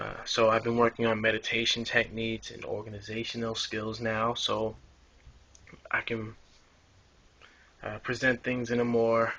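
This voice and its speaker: A man mumbles at a moderate pace in a medium pitch, his intonation flat and monotone, broken by long, frequent pauses. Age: adult. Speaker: ex-religious video blogger. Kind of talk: personal testimony vlog. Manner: mumbling; rambling, hesitant. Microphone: camera broken, makeshift recording.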